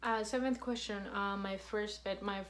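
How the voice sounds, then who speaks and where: A woman of medium pitch speaks with a Spanish accent amid noticeable background noise and audible room echo. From Colombia, then Canada. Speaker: vlogger. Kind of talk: casual chat. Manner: monotone; halting.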